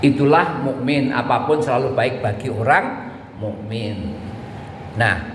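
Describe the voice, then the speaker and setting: A man talks very slowly at a medium pitch, with ordinary pitch variation. Noticeable background noise and audible room echo are present. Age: 60s. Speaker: religious preacher. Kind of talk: sermon.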